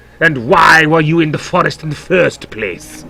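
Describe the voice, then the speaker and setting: Putting on a character voice in a strong German accent, a man talks at a moderate pace in a raspy, fairly high voice. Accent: thick German. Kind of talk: regal, stern.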